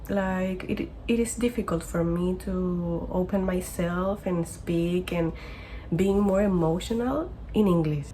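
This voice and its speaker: Over noticeable background noise and audible room echo, a woman with a non-native accent talks at a fairly slow pace. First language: not English. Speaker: vlogger living abroad. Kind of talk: personal vlog. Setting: bedroom in basement. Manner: halting, self-correcting.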